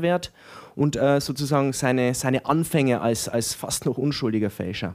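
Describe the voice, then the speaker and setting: A man with a normal speaking voice varies his pitch in an ordinary way at a moderate speed. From Franconia, Germany (Erlangen), raised in Weiden, Upper Palatinate. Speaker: novelist, writing teacher. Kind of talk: interview at live reading.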